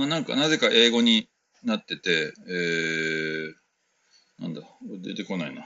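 A man's relaxed, fairly slow delivery with very wide pitch swings, big swings in loudness, and long, frequent pauses. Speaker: podcast host and West African music performer. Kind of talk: casual solo talk answering listener mail. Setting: converted shed room at home, no air conditioning. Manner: relaxed, many filler words.

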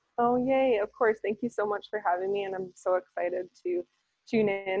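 With an American accent, a woman talks at a medium pitch and a fairly quick pace, showing ordinary pitch variation. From US West Coast, San Diego. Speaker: small business owner. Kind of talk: interview. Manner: animated.

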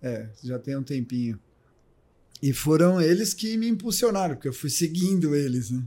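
This man's somewhat breathy, dark, mellow voice sits fairly high and swings very widely in pitch. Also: moderate pace. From Brazil, São Paulo state (Ribeirão Preto). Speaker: triathlon coach. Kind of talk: casual chat.

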